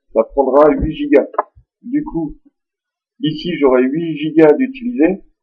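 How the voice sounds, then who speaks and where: A man is speaking. His pace is very slow. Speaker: tech tutorial youtuber. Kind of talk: screen-recorded software tutorial. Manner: casual, informal.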